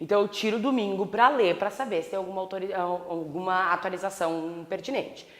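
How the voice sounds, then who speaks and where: A woman speaks in a plain, everyday voice at a medium pitch. Her pace is fairly quick, with hardly any pauses. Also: ordinary pitch variation. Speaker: law professor. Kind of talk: lecture.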